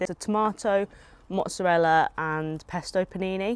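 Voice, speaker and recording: Against a silent background on a very clean recording, a woman with a southern English accent speaks at a moderate pace and medium pitch with ordinary pitch variation. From southern England (Hampshire). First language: Japanese. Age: 20s. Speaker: food content creator. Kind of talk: casual vlog chat while eating. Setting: outdoors.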